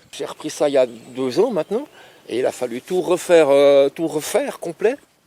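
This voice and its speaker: Recorded dry and close with no echo, a man with a fairly high voice speaks at a moderate pace with lively intonation. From Switzerland, Lausanne. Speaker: fishing lake owner. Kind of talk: casual interview.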